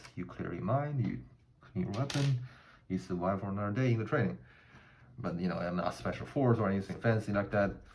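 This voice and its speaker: With a non-native accent, a man speaks at a fairly quick pace and a fairly low pitch, his pitch swinging very widely between long, frequent pauses. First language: not English. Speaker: gun hobbyist, army veteran. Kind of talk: tutorial. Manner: halting, many fillers.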